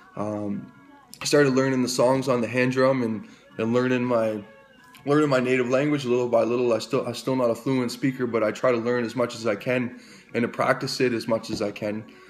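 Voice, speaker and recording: Amid noticeable background noise, a man with a Canadian accent speaks at a fairly quick pace in a medium pitch with monotone, flat intonation. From Canada, New Brunswick (Fredericton). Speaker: recovery advocate. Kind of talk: personal testimony. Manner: halting, many repetitions.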